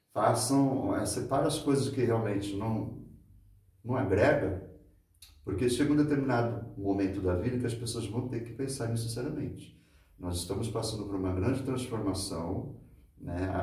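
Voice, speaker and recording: A man with a dark, mellow, somewhat breathy voice speaks at medium pitch and a moderate pace, with ordinary pitch variation. Audible echo fills the room. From Santos, São Paulo state, Brazil. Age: 50s. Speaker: local handyman and mentor. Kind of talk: interview conversation.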